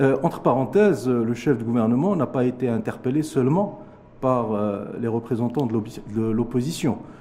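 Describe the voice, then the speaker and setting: This is an unremarkable speaking voice from a man at a medium pitch. He talks at a moderate pace with ordinary pitch variation. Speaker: economist. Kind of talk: TV interview. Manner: formal.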